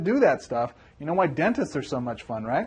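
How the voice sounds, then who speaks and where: This man's voice sits fairly high in pitch. His intonation is lively. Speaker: MLM business coach. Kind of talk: tutorial. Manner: fast; animated.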